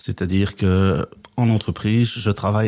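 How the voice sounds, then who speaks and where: The man's fairly low voice stays monotone, with flat intonation. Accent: Belgian. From Belgium, Flemish Brabant. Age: 60s. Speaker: business coach and trainer. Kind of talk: podcast interview.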